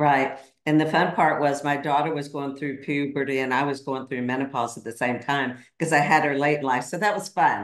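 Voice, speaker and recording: A woman's very deep, low pitch with fairly even intonation and hardly any pauses, in audible room echo. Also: fairly quick pace, quiet background. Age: 50s. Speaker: podcaster and coach; podcaster, coach. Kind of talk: casual chat. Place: home room. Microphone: video call.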